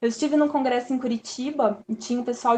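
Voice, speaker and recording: Her high-pitched voice carries fairly even intonation as the woman speaks. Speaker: architect and urban planner. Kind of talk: lecture. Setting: live online talk.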